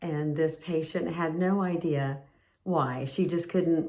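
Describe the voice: Speaking at a fairly slow pace, a woman has a fairly low pitch, a dark, mellow tone and ordinary pitch variation.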